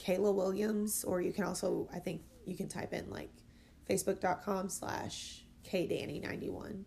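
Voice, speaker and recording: A woman with an American accent speaks somewhat breathily at a fairly slow pace with fairly even intonation. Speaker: guest, childhood friend of host. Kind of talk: casual chat. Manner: laughs often.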